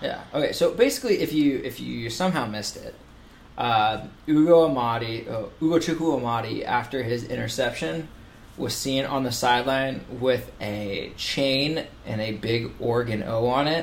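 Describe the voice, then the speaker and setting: Moderately paced, medium-pitched speech from a man, a normal speaking voice with ordinary pitch variation. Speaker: sports podcast host. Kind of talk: casual sports podcast chat.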